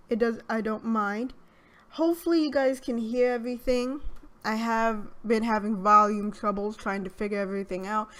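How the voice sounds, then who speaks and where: A woman's fairly high voice at a fairly slow pace. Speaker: gaming YouTuber. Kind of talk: casual gameplay commentary. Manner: hesitant, filler-heavy.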